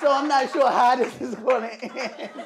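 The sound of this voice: Loud and high-pitched with vocal fry, a woman talks at a moderate pace with fairly even intonation over faint background noise and faint crowd noise.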